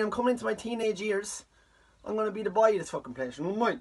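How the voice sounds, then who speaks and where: A man speaks in a high voice with an Irish accent. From Ireland. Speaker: comedian. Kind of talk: comic storytelling. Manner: animated.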